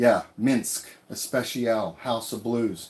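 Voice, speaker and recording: Speaking very slowly with a slight Texas accent, a man uses a medium pitch and a relaxed tone. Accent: Southern, slight Texas twang. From California, with years in Texas. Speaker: travel vlogger. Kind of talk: live stream Q&A. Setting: tiny house in the woods. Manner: casual, relaxed.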